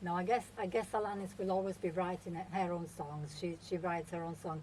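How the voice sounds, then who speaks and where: A woman's voice with an Italian accent. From Italy, Milan. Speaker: singer-songwriter. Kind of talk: radio interview.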